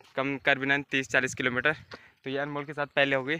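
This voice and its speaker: A man's bright, sharp voice comes through dry, without any echo. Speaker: vlogger. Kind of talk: casual vlog chat. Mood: cheerful, relaxed. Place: open country. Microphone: phone near.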